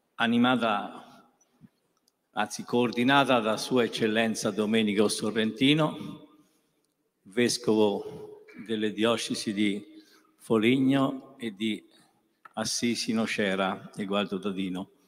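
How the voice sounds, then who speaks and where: A man at medium pitch, very slow and fairly even in intonation, with long, frequent pauses. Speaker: event organizer. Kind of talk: formal introduction. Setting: stage with audience.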